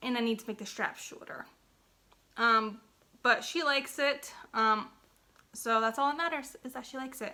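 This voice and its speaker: A bright, sharp tone carries fairly even intonation at a moderate pace. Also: woman. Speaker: crochet vlogger. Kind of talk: casual vlog chat. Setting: living room at home. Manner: hesitant, many fillers.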